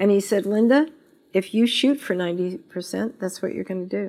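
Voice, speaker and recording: A woman's normal speaking voice, medium in pitch with ordinary pitch variation, in an American accent, on a very clean recording with a silent background. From Las Vegas, US West. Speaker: business owner and CEO. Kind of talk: interview. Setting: office.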